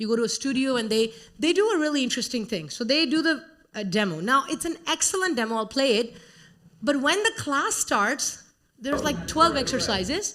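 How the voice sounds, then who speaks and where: A woman with an Indian accent speaks fairly quickly at a high pitch. Her pitch swings very widely. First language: Hindi. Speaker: conference speaker, educator. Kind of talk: conference talk.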